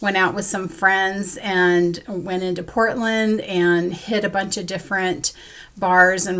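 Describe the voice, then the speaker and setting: This woman's voice sits at a medium pitch and has a bright, sharp tone. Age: 60s. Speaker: crafting vlogger, school worker. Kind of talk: casual vlog monologue.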